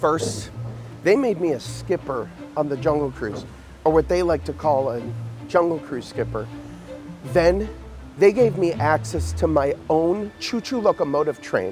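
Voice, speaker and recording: Speech comes at a fairly slow pace with long, frequent pauses, and music plays in the background. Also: man. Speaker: actor. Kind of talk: comedic narration to camera.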